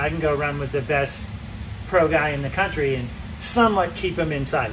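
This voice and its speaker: A man talks fairly quickly, his voice carrying audible room echo over noticeable background noise. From Massachusetts, US. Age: 60s. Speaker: road racer and riding coach. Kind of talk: casual chat. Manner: animated.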